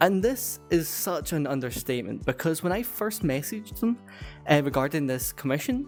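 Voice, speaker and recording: Behind the moderate-paced speech, music can be heard. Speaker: furry YouTuber. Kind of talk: casual commentary to camera.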